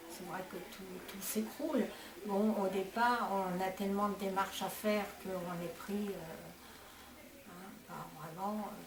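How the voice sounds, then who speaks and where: A woman talks at a very slow pace with long, frequent pauses and fairly even intonation. Her loudness swings widely over noticeable background noise. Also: medium pitch for a woman. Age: 80s+. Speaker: widow. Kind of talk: interview answer.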